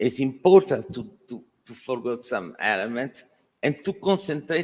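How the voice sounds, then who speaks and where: Lively intonation carries a man's medium-pitched voice. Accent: Italian. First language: Italian. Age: 60s. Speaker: architect. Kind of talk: Q&A at a talk. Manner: halting.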